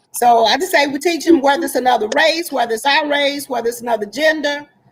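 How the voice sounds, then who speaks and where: Music plays in the background as a woman speaks. Her voice is high-pitched and her pace very fast. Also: ordinary pitch variation. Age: 60s. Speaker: panelist. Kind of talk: panel discussion.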